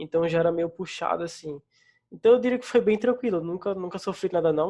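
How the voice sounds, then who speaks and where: Fairly quick and high-pitched, a man with a slight northeastern Brazilian accent speaks in a dark, mellow tone with ordinary pitch variation. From Northeast Brazil. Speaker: front-end developer. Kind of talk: casual interview.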